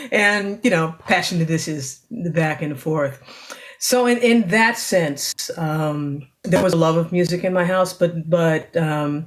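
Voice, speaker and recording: A woman's fairly low voice with an American accent, an unremarkable speaking voice, ordinary pitch variation and a fairly slow pace. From New York City (Queens). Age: 60s. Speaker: singer-songwriter. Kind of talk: interview. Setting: video call.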